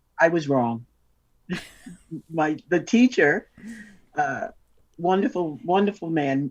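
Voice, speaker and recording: A woman's fairly low-pitched voice, fairly slow in pace, with lively intonation. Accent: New York. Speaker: double bass player. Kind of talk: interview.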